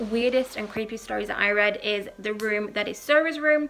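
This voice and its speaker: With a British accent, a woman speaks at a fairly high pitch with ordinary pitch variation over noticeable background noise. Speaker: paranormal YouTuber. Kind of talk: casual storytelling monologue. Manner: casual, many filler ums.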